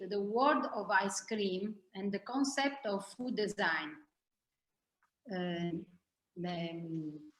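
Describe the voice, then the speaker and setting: A woman's medium-pitched voice, very slow and lively in intonation, with long, frequent pauses. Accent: Italian. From Italy. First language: Italian. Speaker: ice cream maker. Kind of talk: presentation.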